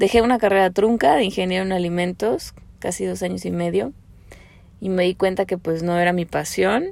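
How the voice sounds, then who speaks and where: This is a normal speaking voice with fairly even intonation. The recording is very clean, with a silent background. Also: woman. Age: 30s. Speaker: podcast host. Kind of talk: personal monologue.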